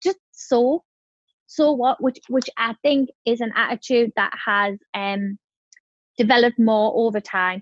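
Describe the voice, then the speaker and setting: A woman with a northern English accent speaks at a high pitch with ordinary pitch variation. The sound is dry and close, with no echo. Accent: broad northern English. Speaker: entrepreneur. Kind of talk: podcast interview. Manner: fast.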